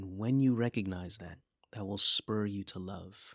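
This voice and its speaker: A man with a fairly low pitch has a warm, upbeat tone that is also bright and sharp. The sound is dry and close with no echo, on a very clean recording with a silent background. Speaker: poet and podcast host. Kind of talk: poetry reading, chatty intro and outro. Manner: warm, upbeat, conversational; reads a bit too fast.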